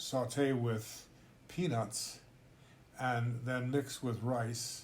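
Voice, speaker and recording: Monotone, flat delivery, somewhat breathy, with audible room echo. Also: man. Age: 80s+. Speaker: intercultural trainer. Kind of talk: casual chat. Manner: halting.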